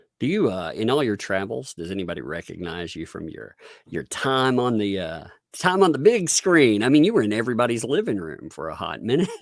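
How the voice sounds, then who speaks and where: A medium-pitched man talks at a fairly quick pace with very wide pitch swings and big swings in loudness. The recording is very clean, with a silent background. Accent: Southern US. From Tennessee. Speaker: online commentator. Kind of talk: casual chat.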